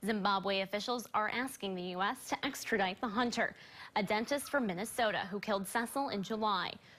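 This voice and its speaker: A woman's bright, sharp tone with an American accent at a moderate pace. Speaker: TV news anchor. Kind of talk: TV news anchor delivery. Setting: TV studio.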